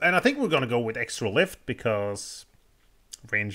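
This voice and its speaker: Against a quiet background, a bright, sharp voice with vocal fry moves at a moderate pace through very wide pitch swings. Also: man. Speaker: gaming streamer. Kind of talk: let's play commentary. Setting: live stream. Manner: casual, thinking aloud. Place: home room.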